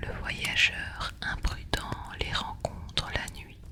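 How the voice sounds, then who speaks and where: Someone whispers at a very slow pace. There is noticeable background noise. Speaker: ASMR creator. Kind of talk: whispered storytelling. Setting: by the fireside. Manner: whispering.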